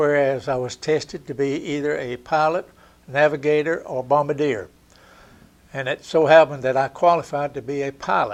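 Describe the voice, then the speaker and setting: With a Southern US accent, a man speaks at a moderate pace. His pitch is fairly high. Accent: Southern US (Georgia). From Georgia, US South. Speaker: war veteran. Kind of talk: oral history interview.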